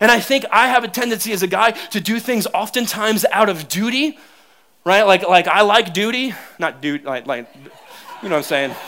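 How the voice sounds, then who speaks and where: A man speaks in a raised, projected voice at a moderate pace and high pitch. His tone is animated and his intonation lively. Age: 30s. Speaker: pastor. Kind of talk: sermon.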